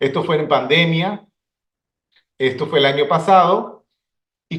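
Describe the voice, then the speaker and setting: A man speaks in a high register, his intonation lively. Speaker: ophthalmologist. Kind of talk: conference lecture. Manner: halting.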